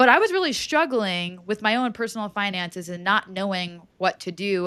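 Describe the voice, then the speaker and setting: On a very clean recording with a silent background, a woman speaks at a moderate pace with a bright, sharp tone, medium pitch and ordinary pitch variation. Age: 20s. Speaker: personal finance educator. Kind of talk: podcast interview.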